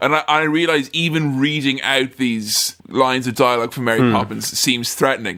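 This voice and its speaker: Against noticeable background noise, a man speaks at medium pitch and a moderate pace with fairly even intonation and hardly any pauses. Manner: imposing, unintentionally threatening.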